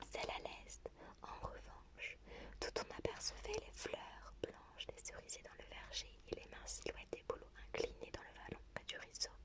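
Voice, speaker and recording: Against noticeable background noise, a soft-spoken voice whispers. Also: woman. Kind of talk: whispered novel reading. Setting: home-recorded ASMR. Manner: whispered, soft.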